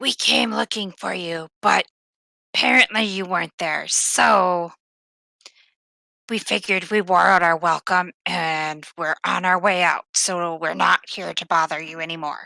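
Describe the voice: A put-on character voice from a woman, raspy and fairly low, at a moderate pace with a dry, close sound and no echo.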